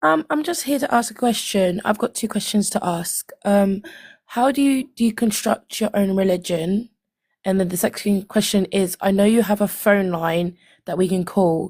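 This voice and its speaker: With a British accent, a woman speaks at medium pitch and a moderate pace, using ordinary pitch variation. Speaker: live stream caller. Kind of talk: casual chat.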